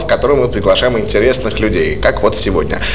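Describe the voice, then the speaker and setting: A man talking at a fairly quick pace over background music. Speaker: radio host. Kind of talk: casual radio interview. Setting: studio.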